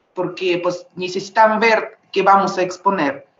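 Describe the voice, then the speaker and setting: Speaking with a Russian accent, a woman uses a medium pitch and fairly even intonation at a fairly slow pace. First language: Russian (speaking Spanish). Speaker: visual artist. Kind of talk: panel discussion. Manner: halting.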